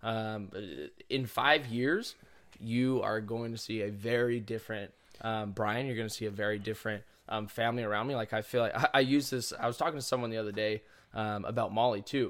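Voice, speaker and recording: This man has an ordinary speaking voice at medium pitch, with fairly even intonation and a fairly quick pace. The recording is very clean, with a silent background. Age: 20s. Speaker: gym entrepreneur. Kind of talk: casual chat.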